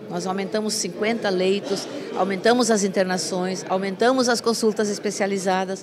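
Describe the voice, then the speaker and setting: A woman talks at a moderate pace, and noticeable background noise is present throughout. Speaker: hospital administrator. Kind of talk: news interview. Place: hall. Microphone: handheld.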